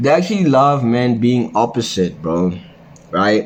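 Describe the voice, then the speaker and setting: A man with a normal speaking voice and a medium pitch talks at a fairly slow pace. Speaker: men's self-improvement vlogger. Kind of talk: casual monologue vlog. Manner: casual, filler-heavy slangy talk.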